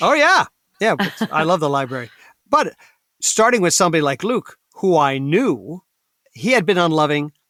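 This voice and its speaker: This man's high-pitched voice has a bright, sharp tone and very wide pitch swings, moving at a moderate pace with long, frequent pauses in a dry, close recording with no echo, very clean with a silent background. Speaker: actor, voice actor, comedian. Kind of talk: interview answer.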